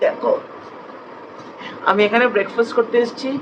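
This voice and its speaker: A woman's high voice against noticeable background noise. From Kolkata. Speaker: lawyer. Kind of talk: casual vlog talk to camera.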